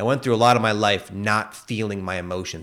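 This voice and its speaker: A normal speaking voice, this man talks at a fairly low pitch in a very clean recording with a silent background. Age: 30s. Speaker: spiritual podcast host. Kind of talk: casual chat.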